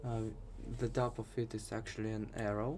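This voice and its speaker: A man with a Russian accent talks fairly slowly at a medium pitch. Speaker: programming tutor. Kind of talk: tutorial. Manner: casual.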